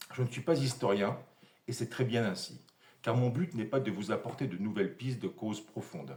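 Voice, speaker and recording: A man talks at a medium pitch with a somewhat breathy sound. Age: 60s. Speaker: amateur history lecturer, retired engineer. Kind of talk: scripted presentation.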